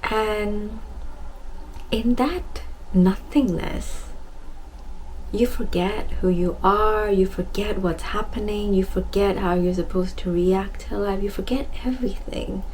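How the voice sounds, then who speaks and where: A woman is soft-spoken. She talks at a very slow pace. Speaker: self-love and wellness speaker. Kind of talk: casual heart-to-heart talk to camera.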